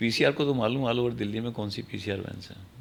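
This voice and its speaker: At a moderate pace, a man speaks at medium pitch with ordinary pitch variation. Vocal fry runs through his voice. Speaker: retired senior law enforcement officer. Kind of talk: podcast interview.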